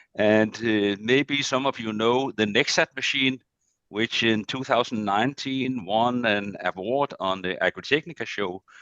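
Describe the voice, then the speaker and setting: Speaking in a Danish accent, a man takes a fairly slow pace. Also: medium pitch for a man, ordinary pitch variation. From Denmark. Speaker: agricultural machinery business development manager. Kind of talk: presentation. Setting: video call.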